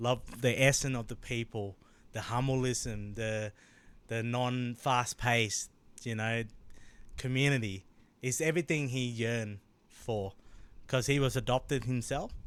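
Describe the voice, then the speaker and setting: Speaking with a Thai accent, a man uses a medium pitch and fairly even intonation. His pace is fairly slow, with long, frequent pauses. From Thailand, moved to Australia at eleven. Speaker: founder of a men's mental health group. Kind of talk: podcast interview.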